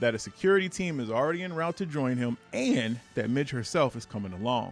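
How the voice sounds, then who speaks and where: A man talks with lively intonation. Music plays in the background. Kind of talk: comic book review to camera. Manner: reading from a script.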